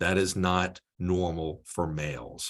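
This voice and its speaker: The man's pitch is very deep and low. He speaks at a fairly slow pace with fairly even intonation. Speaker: pharmacist presenter. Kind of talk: webinar presentation.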